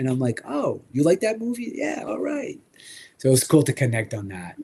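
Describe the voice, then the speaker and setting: With vocal fry and very wide pitch swings, this man speaks at a moderate pace. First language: French. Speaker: toy collecting show host. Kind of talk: casual chat. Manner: animated.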